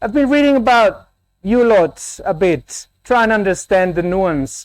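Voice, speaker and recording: In a very clean recording with a silent background, a man with a Spanish accent talks at a moderate pace with ordinary pitch variation. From Colombia. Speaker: academic keynote speaker. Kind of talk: conference keynote.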